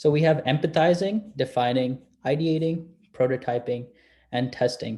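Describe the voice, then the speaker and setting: His tone is dark and mellow, and somewhat breathy. The man's pitch varies in an ordinary way. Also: medium pitch for a man. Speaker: student workshop presenter. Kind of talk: lecture. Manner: fast.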